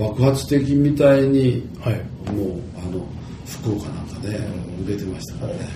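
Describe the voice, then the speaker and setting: This man's voice sits at medium pitch with ordinary pitch variation and big swings in loudness, at a moderate pace. Audible room echo and noticeable background noise fill the recording. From Japan, Tottori. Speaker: company chairman. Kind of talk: interview. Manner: halting.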